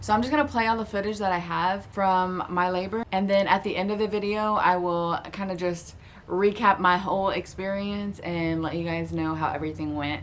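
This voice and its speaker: A woman's moderately paced speech in an American accent, fairly even in intonation with hardly any pauses, over noticeable background noise. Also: medium pitch for a woman. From Florida. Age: 20s. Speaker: new mother, vlogger. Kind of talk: casual talk to camera.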